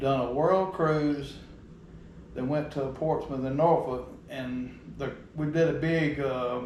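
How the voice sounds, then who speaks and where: A man's fairly high voice at a very slow pace, with long, frequent pauses and fairly even intonation, amid noticeable background noise and audible room echo. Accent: Southern US. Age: 50s. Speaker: outdoors video host, navy veteran. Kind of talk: casual chat.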